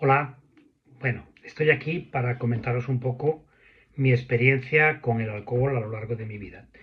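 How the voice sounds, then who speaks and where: A man talks at a moderate pace. His loudness swings widely from moment to moment. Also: medium pitch for a man, fairly even intonation. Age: 60s. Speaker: recovering drinker sharing his story. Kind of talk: testimony. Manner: halting, with repetitions.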